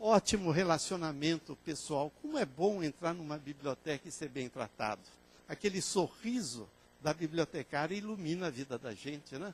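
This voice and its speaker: A man's unremarkable speaking voice at a moderate pace, pitched fairly high and lively in intonation. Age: 60s. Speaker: librarian and information science lecturer. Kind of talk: conference lecture.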